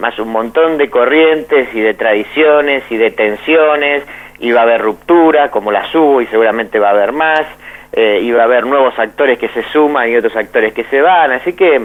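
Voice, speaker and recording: This man talks at a moderate pace. His pitch is medium, with ordinary variation. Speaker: philosophy professor and author. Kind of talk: radio interview. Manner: halting, many repetitions.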